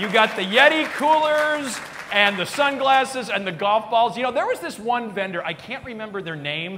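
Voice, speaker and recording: A man speaks in a raised, projected voice at a fairly quick pace. Crowd noise fills the background. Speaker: keynote speaker. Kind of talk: stand-up comedy keynote. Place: stage. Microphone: lapel.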